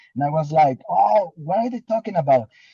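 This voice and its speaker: With a non-native accent, a man speaks at a fairly high pitch in a dark, mellow tone, somewhat breathy, with a dry, close sound and no echo. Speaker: distributor. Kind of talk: motivational testimony. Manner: halting, many repetitions.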